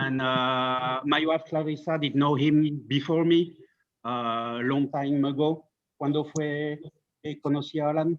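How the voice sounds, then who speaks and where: With a French accent, a man speaks at a fairly slow pace in a fairly high pitch, with monotone, flat intonation. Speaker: friend of the deceased. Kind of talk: memorial tribute. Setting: video call. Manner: halting. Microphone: bad internet connection.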